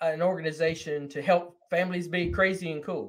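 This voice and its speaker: A man with a high-pitched voice talks at a moderate pace in a very clean recording with a silent background. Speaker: podcast host. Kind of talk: interview.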